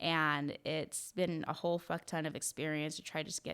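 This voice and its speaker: Very clean recording with a silent background, featuring a woman's very deep, low voice. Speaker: tattoo artist and amateur fighter podcast host. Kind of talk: casual solo podcast monologue. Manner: fast; casual, filler-heavy, self-correcting.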